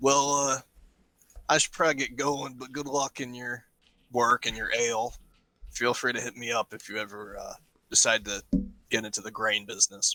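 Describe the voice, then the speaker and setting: A raspy, put-on character voice from a man at a medium pitch, with fairly even intonation, big swings in loudness, a moderate pace and long, frequent pauses, in a dry, close sound with no echo. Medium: actual play. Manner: casual, folksy, talkative.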